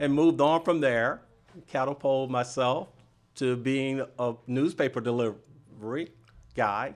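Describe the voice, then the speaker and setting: A man with an ordinary speaking voice talks at a fairly slow pace. His medium pitch follows fairly even intonation. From US South, Miami, Florida. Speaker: business organization president, banker. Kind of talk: radio interview. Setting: radio studio.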